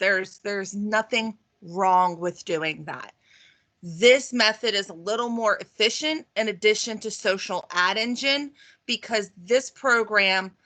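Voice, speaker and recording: A woman speaks fairly slowly at a medium pitch, in a bright, sharp tone. Her pitch varies in an ordinary way against a quiet background. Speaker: real estate marketing trainer. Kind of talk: online training webinar with screen share. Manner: casual with many fillers.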